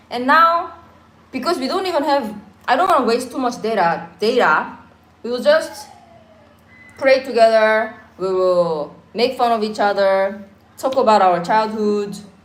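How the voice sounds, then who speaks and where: Over music in the background and audible room echo, a woman speaks at a fairly high pitch and a fairly slow pace, with very wide pitch swings and long, frequent pauses. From Korea. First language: Korean. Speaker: YouTuber. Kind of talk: casual chat. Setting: livestream at home.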